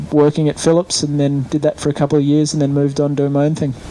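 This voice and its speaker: A man speaks in an Australian accent at a fairly high pitch. Noticeable background noise is present. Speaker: event rider. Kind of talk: interview. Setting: interview lounge at event. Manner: halting, many fillers.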